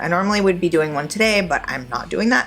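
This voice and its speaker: A woman's fairly low-pitched voice, lively in intonation and fairly quick, with music in the background. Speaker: nonbinary vlogger on low-dose testosterone. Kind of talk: casual talk to camera.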